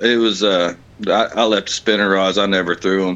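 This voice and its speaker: Speaking in an American accent, the man keeps a moderate pace. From West Virginia. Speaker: kayak tournament angler. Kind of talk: casual interview.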